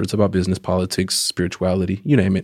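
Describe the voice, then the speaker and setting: With an American accent and a fairly low pitch, a man is captured on a very clean recording against a silent background. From Oakland, California. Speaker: journalist and educator. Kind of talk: casual chat.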